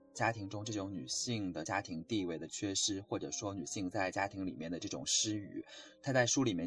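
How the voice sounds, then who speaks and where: A man with a fairly low pitch talks at a fairly quick pace, somewhat breathy, with ordinary pitch variation. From China. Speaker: student radio book show co-host. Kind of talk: book discussion.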